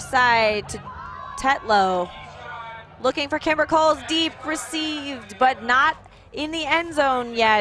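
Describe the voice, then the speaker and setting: Amid noticeable background noise, a woman speaks at a high pitch and a very slow pace with long, frequent pauses and lively intonation. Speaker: play-by-play sports commentator. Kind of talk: live commentary.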